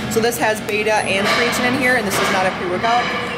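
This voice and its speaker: Over clear music in the background, a woman speaks at a fairly quick pace. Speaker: vlogger. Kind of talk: casual vlog chat. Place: gym. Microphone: phone near.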